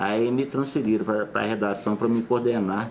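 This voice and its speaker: A man talks at an unhurried, moderate speed while noticeable noise sits in the background. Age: 50s. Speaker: former TV art editor. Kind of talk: interview reminiscence. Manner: halting, with self-corrections.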